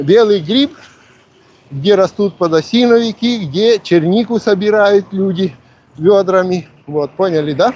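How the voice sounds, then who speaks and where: A man at a very slow pace, with ordinary pitch variation. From Polesie region, Ukraine–Belarus border. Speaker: vlogger. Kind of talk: live stream casual talk. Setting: outdoors on a walk. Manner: casual, conversational.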